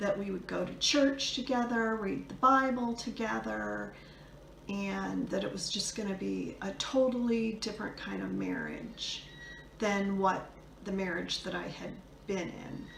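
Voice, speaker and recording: A woman's fairly slow voice, with noticeable background noise and audible room echo. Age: 60s. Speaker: video blogger sharing divorce experience. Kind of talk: personal testimony. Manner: hesitant, many fillers.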